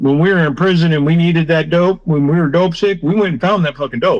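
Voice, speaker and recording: This man has a fairly high pitch and ordinary pitch variation. His is a plain, everyday voice. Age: 60s. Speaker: former prisoner and recovery worker. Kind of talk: interview testimony. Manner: casual, profane.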